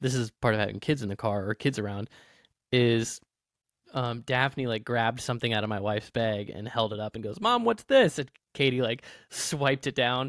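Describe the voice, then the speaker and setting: Using an unremarkable speaking voice, a man talks at medium pitch and a moderate pace with fairly even intonation, the sound dry and close with no echo on a very clean recording with a silent background. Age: 30s. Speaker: podcast co-host. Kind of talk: casual chat.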